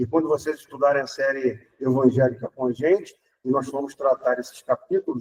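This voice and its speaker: A man talking at a moderate pace. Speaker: spiritist speaker. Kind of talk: public lecture.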